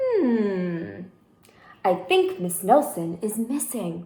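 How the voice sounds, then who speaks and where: This female-sounding voice is a put-on character voice at a middle pitch. The pace is very slow. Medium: read story. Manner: slow, musing.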